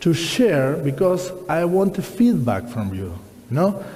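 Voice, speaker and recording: Speaking with a Spanish accent, a man uses high pitch and a fairly slow pace. Audible room echo and noticeable background noise surround him. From Argentina. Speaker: watercolor artist and teacher. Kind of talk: lecture.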